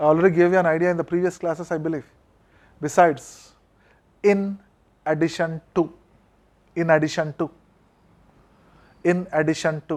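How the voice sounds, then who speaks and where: A man with an Indian accent speaks in a high pitch and monotone, flat intonation at a moderate pace, with long, frequent pauses. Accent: Indian English (Telugu). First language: Telugu. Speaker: college English lecturer. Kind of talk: classroom lecture.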